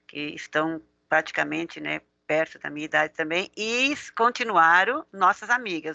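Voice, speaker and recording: A woman's fairly low-pitched, bright, sharp voice with lively intonation at a fairly slow pace, in a dry, close sound with no echo over a quiet background. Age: 60s. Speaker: driving school owner and instructor. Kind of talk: interview.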